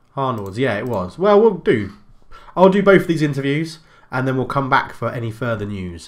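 Quiet surroundings and a man with an English accent. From England. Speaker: gaming YouTuber. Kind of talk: video game commentary. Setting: home recording. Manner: casual, chatty. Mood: upbeat, amused.

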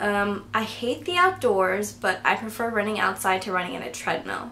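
A woman mumbles at a moderate pace with ordinary pitch variation over light background noise. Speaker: vlogger. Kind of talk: casual talk to camera. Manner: mumbling, awkward. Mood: relaxed, storytelling. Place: home room. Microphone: camera far.

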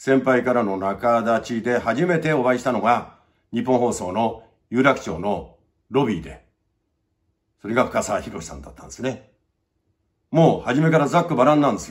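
Over a quiet background, the speaker uses lively intonation, vocal fry and a moderate pace, with big swings in loudness and long, frequent pauses. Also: man. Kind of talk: casual reminiscing talk to camera. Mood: fond, reflective remembrance. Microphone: phone near.

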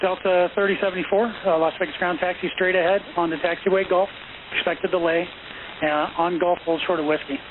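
Fairly quick and fairly even in intonation, a man talks with a high pitch.

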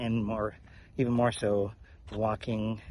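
The sound is dry, with no echo. Light background noise runs beneath it. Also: man. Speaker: walking vlogger. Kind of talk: casual vlog chat. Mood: relaxed, reflective. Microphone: phone near.

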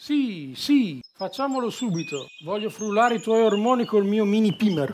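At a fairly slow pace and with hardly any pauses, a man with a high pitch speaks with lively intonation. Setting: video call.

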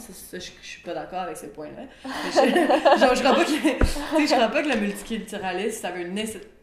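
With lively intonation and a fairly quick pace, a woman talks over noticeable background noise. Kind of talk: podcast interview answer. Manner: energetic, code-switching franglais.

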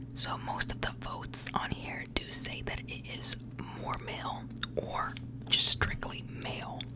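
Loud background noise fills the recording. Over it, the speaking pace is fairly slow. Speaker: fragrance vlogger. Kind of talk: casual vlog chat. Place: home room. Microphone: studio mic.

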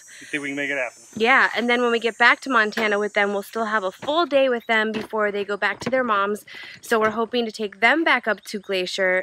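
A woman talking at a fairly quick pace with ordinary pitch variation, dry sound with no echo and light background noise. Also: hardly any pauses. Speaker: RV travel vlogger. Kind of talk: casual vlog chat. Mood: cheerful and excited. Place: open country. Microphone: phone near.

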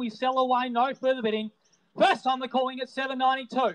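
This man speaks with an Australian accent at an extremely high pitch. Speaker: real estate auctioneer. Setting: outdoors at property before live crowd, with phone and online bidders. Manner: punchy, showman-like cajoling of bidders.

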